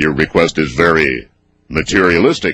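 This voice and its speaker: Putting on a booming character voice, a man speaks at a moderate pace with a very deep, low pitch. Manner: stern, commanding.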